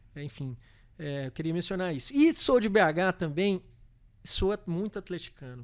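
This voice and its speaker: On a very clean recording with a silent background, a man with a Minas Gerais accent and high pitch speaks at a moderate pace, his loudness swinging widely. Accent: mineiro. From Brazil, Minas Gerais (Belo Horizonte). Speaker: corporate legal and tax director. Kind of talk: podcast interview. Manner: halting, many fillers.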